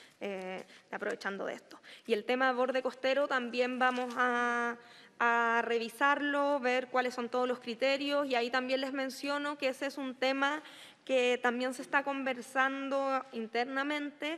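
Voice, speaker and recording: A bright, sharp voice speaks at a fairly slow pace in a flat monotone, recorded very cleanly against a silent background. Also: woman, high pitch for a woman. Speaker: government minister. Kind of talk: committee testimony.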